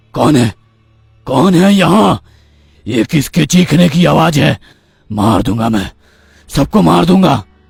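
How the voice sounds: In a raspy, cartoonish character voice of medium pitch, a man speaks at a fairly slow pace with long, frequent pauses.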